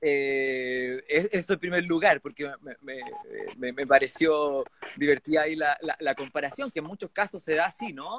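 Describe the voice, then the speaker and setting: In a plain, everyday voice, a man with a fairly high pitch talks at a moderate pace, his loudness swinging widely while his pitch varies in an ordinary way. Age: 30s. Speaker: constituent assembly candidate. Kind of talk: interview.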